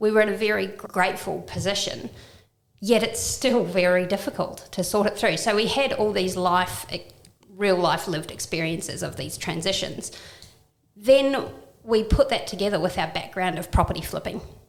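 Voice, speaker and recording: A woman with a slight New Zealand accent and a medium-pitched voice speaks at a moderate pace with ordinary pitch variation, her voice carrying audible room echo. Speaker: downsizing and property renovation business owner. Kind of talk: podcast interview.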